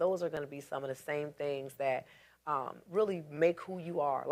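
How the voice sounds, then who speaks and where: Speaking in a very deep, low pitch, a woman keeps a fairly even intonation while her loudness swings widely. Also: moderate pace. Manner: casual, halting, repeats words.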